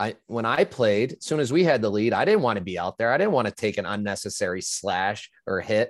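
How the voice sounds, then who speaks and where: A plain, everyday voice with an American accent at a fairly quick pace, hardly any pauses, and a dry, close sound with no echo. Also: man, medium pitch for a man. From upstate New York. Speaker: former hockey player and betting analyst. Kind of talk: casual interview.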